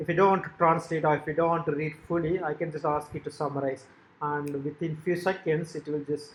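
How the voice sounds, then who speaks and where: A fairly quick, fairly high-pitched male voice. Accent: Tamil. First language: Tamil. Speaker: software developer demonstrating own website. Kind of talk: tutorial. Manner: halting, frequent fillers.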